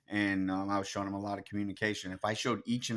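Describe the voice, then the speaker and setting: A man's fairly low voice at a very fast pace, in a very clean recording with a silent background. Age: 40s. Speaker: conspiracy vlogger. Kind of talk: monologue rant. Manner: halting, with fillers.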